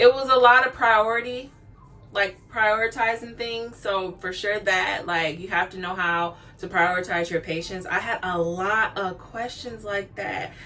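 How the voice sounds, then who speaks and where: A woman's medium-pitched voice at a fairly slow pace, with ordinary pitch variation, big swings in loudness and noticeable background noise. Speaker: nursing graduate vlogger. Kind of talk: casual vlog talk.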